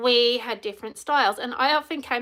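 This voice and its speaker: A woman speaks loudly in an animated tone. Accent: Australian. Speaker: empowerment coach. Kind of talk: live stream talk.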